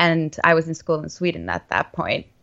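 Speaking at a fairly slow pace, a woman with a Finnish accent uses a fairly low pitch. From Finland (Lapland). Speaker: violinist and composer. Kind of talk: casual chat.

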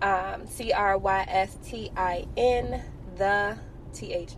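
Very slow speech in an American accent, with audible room echo and noticeable background noise. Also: woman. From Washington, D.C. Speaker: entrepreneur and realtor. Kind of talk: podcast interview.

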